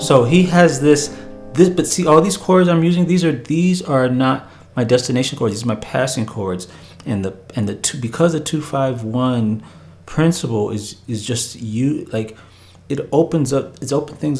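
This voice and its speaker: A medium-pitched male voice, somewhat breathy, with lively intonation. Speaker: piano teacher. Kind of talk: tutorial. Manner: fast.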